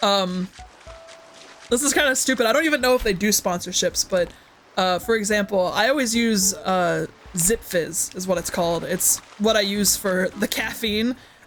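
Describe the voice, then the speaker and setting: The tone is upbeat and the pace moderate. Noticeable background noise runs underneath. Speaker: gaming streamer. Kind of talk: casual live stream chat. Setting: live stream with chat. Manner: upbeat, hyper.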